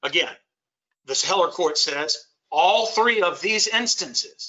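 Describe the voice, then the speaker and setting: With an American accent, a man speaks at a very slow pace and a high pitch. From US South, Shreveport, Louisiana. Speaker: lawyer and constitution teacher. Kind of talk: lecture. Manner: emphatic.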